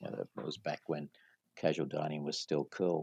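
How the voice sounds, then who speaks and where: A man with an Australian accent, very deep and low in pitch, in a monotone with flat intonation and a dry, close sound with no echo. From Australia, Sydney. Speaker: franchise company CEO. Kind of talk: podcast interview.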